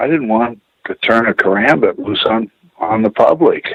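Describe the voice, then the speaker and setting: This is a man speaking. He has a Pacific Northwest accent. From Pacific Northwest US, Tacoma Washington. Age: 60s. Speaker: martial arts instructor. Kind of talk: casual interview chat. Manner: halting, many fillers.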